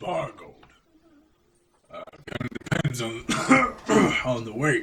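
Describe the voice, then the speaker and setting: A man puts on a raspy character voice. He keeps a medium pitch and a moderate pace. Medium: actual play. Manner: blunt, casual.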